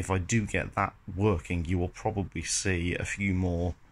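A man with a very deep, low voice speaks with fairly even intonation over light background noise. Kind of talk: casual vlog chat. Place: garage. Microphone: phone near.

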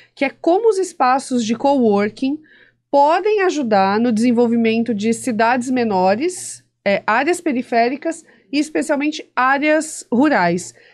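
Against a quiet background, a woman with a Brazilian accent speaks at a fairly slow pace in a high pitch with very wide pitch swings. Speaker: podcast host. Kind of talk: interview conversation. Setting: studio. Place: studio. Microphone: studio mic.

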